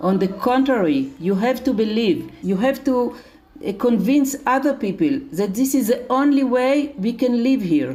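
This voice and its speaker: A woman speaks with a high pitch and lively intonation at a fairly slow pace, with hardly any pauses and very even loudness. Music plays in the background. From Israel. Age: 70s. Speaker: charity leader. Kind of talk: interview.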